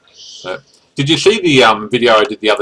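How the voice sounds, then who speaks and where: Speaking at a fairly quick pace, a man with an Australian accent keeps his intonation fairly even. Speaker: gaming channel host and commentator. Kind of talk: casual gameplay commentary chat.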